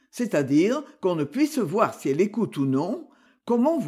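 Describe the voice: Someone reads the text aloud in a plain way.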